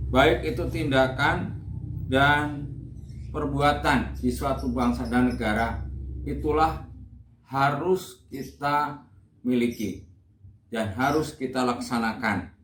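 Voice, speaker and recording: Amid audible room echo, a man talks at a very slow pace with long, frequent pauses. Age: 60s. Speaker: retired school principal. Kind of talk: interview answers. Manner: hesitant, filler-heavy.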